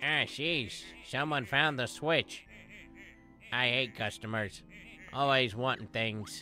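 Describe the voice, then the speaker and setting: A man's put-on character voice at medium pitch, fairly slow, with long, frequent pauses over clear music in the background. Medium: game stream. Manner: grouchy, sarcastic, impatient.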